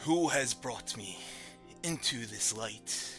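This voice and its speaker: Over clear background music, a man puts on a character voice and speaks very slowly. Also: medium pitch for a man. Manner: soft, ethereal.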